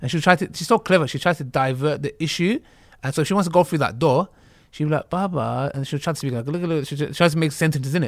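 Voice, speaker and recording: A man in a London accent talks at a very fast pace with a fairly high pitch and ordinary pitch variation, on a very clean recording with a silent background. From North London, of Turkish-Kurdish family. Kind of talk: casual chat.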